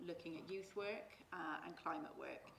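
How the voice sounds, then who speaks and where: Recorded with audible room echo, a woman speaks at a moderate pace with fairly even intonation. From Forest of Dean, England. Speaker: foundation representative. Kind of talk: panel discussion.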